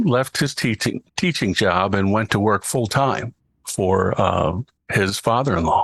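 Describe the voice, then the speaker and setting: An unremarkable speaking voice belongs to a man with an American accent who talks at a fairly slow pace with lively intonation and very even loudness, the sound dry and close with no echo. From Baltimore, Maryland, US. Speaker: voice artist and TV show host. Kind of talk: interview.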